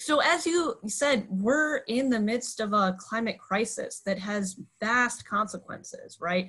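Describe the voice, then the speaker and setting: Speaking at a fairly slow pace with hardly any pauses, a woman has a fairly high pitch and lively intonation. The background is quiet. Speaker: nonprofit legislative director. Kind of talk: panel discussion and role-play. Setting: video call. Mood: earnest, warm. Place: home room. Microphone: earbuds.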